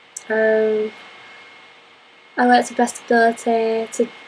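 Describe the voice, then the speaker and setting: A woman's fairly high, monotone, flat voice amid noticeable background noise. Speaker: university course applicant. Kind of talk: application interview to camera.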